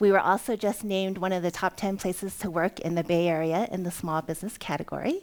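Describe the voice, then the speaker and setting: Very fast and with hardly any pauses, a woman at medium pitch speaks with a Californian accent and fairly even intonation in a very clean recording with a silent background. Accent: General American (California). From US West Coast, Oakland, California. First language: Cantonese. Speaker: entrepreneur, company CEO. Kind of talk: conference talk.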